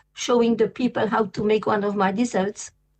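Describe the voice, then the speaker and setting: Speaking with a French accent, a woman uses a fairly high pitch and fairly even intonation. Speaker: vegan pastry chef. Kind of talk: interview. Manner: halting.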